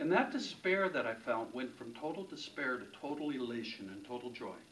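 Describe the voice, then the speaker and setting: Amid audible room echo, a man with a fairly high pitch talks at a fairly quick pace, his intonation lively and his loudness swinging widely. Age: 60s. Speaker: motivational speaker and sales author. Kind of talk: keynote talk. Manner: storytelling.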